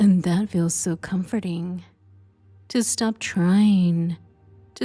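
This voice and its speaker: A woman's medium-pitched voice at a very slow pace, with ordinary pitch variation and music in the background. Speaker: hypnotist. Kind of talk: sleep hypnosis session. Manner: slow, soft-spoken.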